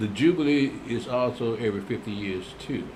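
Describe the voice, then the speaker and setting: The speaker is a man. His words carry audible room echo. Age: old. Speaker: religious teacher. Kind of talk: Bible class answering viewer comments. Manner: casual, conversational.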